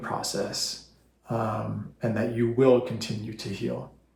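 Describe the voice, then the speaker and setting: A man with a medium pitch and fairly even intonation sounds somewhat breathy, with audible room echo around him. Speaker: vlogger sharing personal health story. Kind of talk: personal testimony to camera. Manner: halting, trips over words; unscripted, many fillers.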